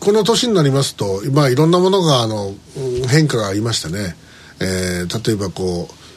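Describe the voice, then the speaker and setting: The speech moves at a moderate pace with very wide pitch swings over noticeable background noise. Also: man. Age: 60s. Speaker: radio host. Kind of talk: casual chat.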